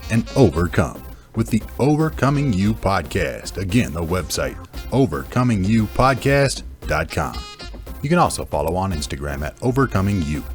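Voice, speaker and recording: Over music in the background, a man with a very deep, low voice speaks at a moderate pace in an upbeat tone with very wide pitch swings. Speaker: voice actor. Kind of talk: podcast promo read.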